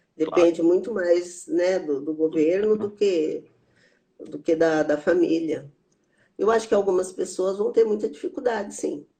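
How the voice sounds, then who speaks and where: Speaking at a fairly slow pace, a woman with a dark, mellow tone and medium pitch shows ordinary pitch variation. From rural interior of São Paulo state, Brazil. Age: 70s. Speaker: psychotherapist and theologian. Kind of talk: interview conversation.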